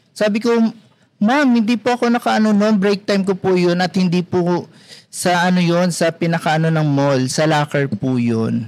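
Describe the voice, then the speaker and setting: A man with a high-pitched voice speaks at a moderate pace. His intonation is lively and his loudness very even. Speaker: security guard and freelance talent. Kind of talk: casual interview chat.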